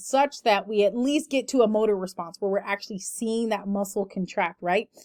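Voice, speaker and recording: A woman's voice sits fairly high and has a dark, mellow tone. Her intonation stays fairly even. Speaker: lecturer. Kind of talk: lecture. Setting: online recorded lecture. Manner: fast.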